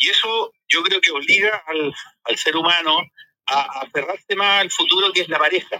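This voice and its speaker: A man speaks in a high pitch, his voice raised and projected. His tone is bright and sharp. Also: ordinary pitch variation, moderate pace. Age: 50s. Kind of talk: casual chat.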